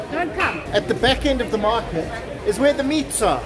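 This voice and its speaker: The speech moves at a moderate pace while crowd noise fills the background. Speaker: travel vlogger. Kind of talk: casual vlog commentary. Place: market. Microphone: phone near.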